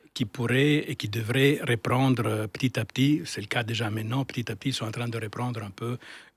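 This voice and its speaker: The voice is somewhat breathy, with fairly even intonation at a moderate pace. The sound is dry and close, with no echo. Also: man, very clean recording, silent background. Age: 60s. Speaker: architect, firm founder. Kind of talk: interview. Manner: halting, many repetitions and fillers.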